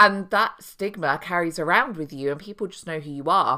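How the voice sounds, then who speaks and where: A woman with a British accent speaks in a bright, sharp tone with lively intonation, on a very clean recording with a silent background. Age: 30s. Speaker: podcast host and mothers' coach. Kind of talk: solo podcast monologue. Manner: conversational.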